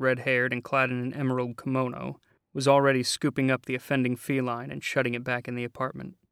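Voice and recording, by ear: The passage comes across as reading aloud in a natural voice.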